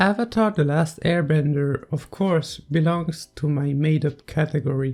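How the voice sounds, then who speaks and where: Someone speaks at a fairly slow pace in a non-native accent. Music plays in the background. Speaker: video essayist. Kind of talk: video essay commentary narration.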